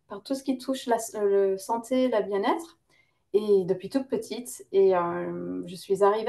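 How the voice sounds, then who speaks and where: Her voice carries a dark, mellow tone as the woman speaks. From Lebanese-British, lived in several countries. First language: English (speaking French). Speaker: naturopath and yoga teacher. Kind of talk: interview. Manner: hesitant, many fillers.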